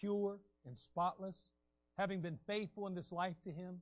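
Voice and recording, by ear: Reading aloud in a natural voice, intonation fairly even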